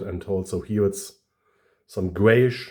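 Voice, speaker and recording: This man speaks in a dark, mellow tone with fairly even intonation. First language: German. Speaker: toy collector YouTuber. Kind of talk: product review. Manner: halting, many fillers.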